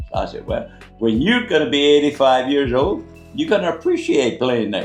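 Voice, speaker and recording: A man with a Cajun accent speaks over music in the background. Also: moderate pace. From Louisiana, USA. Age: 80s+. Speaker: Navy veteran. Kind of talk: casual conversation on camera.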